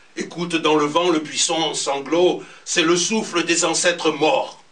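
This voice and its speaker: A man's high voice, very slow, with ordinary pitch variation amid noticeable background noise. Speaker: storyteller. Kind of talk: poetry reading at a slam.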